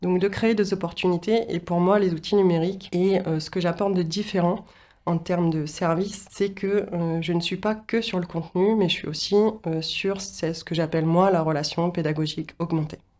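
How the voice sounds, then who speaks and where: At a moderate pace, a woman talks with fairly even intonation and a fairly low pitch. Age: 40s. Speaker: business founder and training consultant. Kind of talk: interview monologue. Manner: hesitant, many filler sounds.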